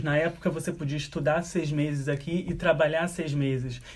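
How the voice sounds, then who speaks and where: This is a man speaking at a moderate pace. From Brazil. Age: 20s. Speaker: software engineer. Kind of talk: interview. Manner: halting.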